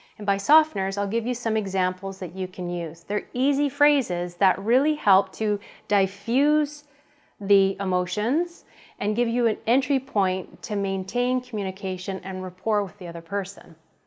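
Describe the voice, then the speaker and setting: Lively intonation runs through a woman's ordinary speaking voice. She speaks at a medium pitch and a moderate pace. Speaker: communication coach. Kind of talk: tutorial.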